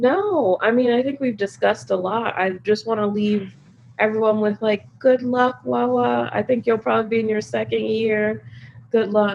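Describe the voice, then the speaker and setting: Speaking in a fairly high pitch, a woman keeps a moderate pace. Her intonation is lively. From Chicago, US Midwest. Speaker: climate policy expert. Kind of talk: interview.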